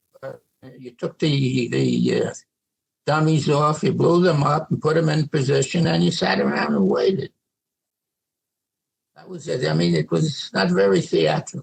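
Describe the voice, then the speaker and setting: A man with a New York accent speaks at a moderate pace with long, frequent pauses and big swings in loudness. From New York City. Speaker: World War II veteran. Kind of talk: interview answer.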